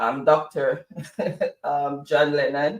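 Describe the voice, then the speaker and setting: A man is speaking. He has a Jamaican accent. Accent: Jamaican, kept. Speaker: co-host of a political talk show. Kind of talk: casual chat. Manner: halting.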